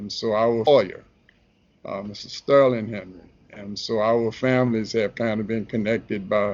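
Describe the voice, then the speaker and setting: A man with a New Orleans accent speaks at a fairly low pitch. His intonation is monotone and flat, though his loudness swings widely. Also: moderate pace. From New Orleans, Lower Ninth Ward. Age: 60s. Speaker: relationship advice columnist and photographer. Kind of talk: casual interview. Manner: halting, many fillers.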